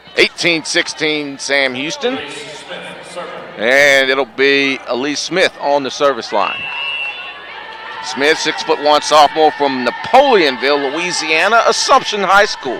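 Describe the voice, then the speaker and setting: Over crowd noise in the background, a man with a fairly high pitch and ordinary pitch variation speaks fairly slowly with long, frequent pauses. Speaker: sports play-by-play announcer. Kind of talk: live commentary.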